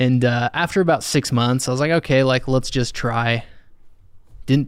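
In a normal speaking voice with an American accent, the speaker uses ordinary pitch variation at a moderate pace on a very clean recording with a silent background. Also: man. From Utah. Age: 30s. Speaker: HVAC service technician. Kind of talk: casual chat. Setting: studio.

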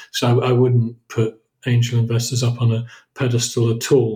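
A man's medium-pitched voice is somewhat breathy, with a dark, mellow tone. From southern England. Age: 50s. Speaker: entrepreneur and investor. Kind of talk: interview. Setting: remote call.

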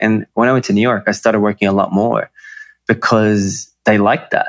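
A man's medium-pitched voice with an Australian accent, flat and monotone, at a fairly quick pace, in a dry, close sound with no echo and a quiet background. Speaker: emotional intelligence coach, former model. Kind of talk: interview conversation. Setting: video call.

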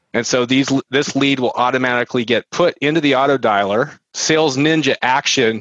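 A plain, everyday voice from a man with an American accent: medium pitch, fairly even intonation, very even loudness, a fairly quick pace and a dry, close sound with no echo. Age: 40s. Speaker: real estate marketing entrepreneur. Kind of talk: casual interview chat. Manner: conversational with filler words.

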